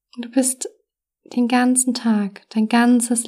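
Very slowly, a woman speaks in a soothing, calm, dark and mellow voice that is somewhat breathy. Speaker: meditation coach and podcast host. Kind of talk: guided meditation. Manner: slow, soft, soothing, calm with long pauses; warm, gentle, caring.

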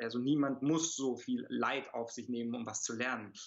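At medium pitch and a moderate pace, a man talks in an unremarkable speaking voice. His pitch shifts in an ordinary way. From Germany, childhood abroad (Italy until six). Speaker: martial arts master and speaker. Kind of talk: interview conversation.

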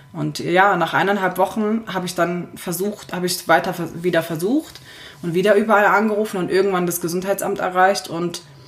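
A woman with a fairly low voice talks at a moderate pace in a monotone, flat way as noticeable background noise continues. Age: 20s. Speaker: fashion and lifestyle blogger. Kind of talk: casual chat.

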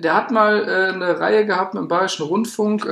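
The speaker is a man. He talks at a moderate pace. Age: 20s. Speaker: podcast co-host, student. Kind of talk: casual chat. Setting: studio.

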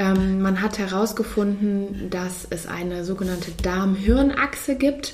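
A woman talks at a very slow pace with hardly any pauses and ordinary pitch variation. Noticeable background noise runs under her voice. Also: medium pitch for a woman. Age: 30s. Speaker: physician. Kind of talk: interview.

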